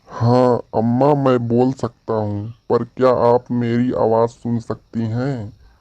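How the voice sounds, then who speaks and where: In a cartoonish character voice, a man talks at a fairly slow pace with a medium pitch and a monotone, flat intonation. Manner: gentle, respectful.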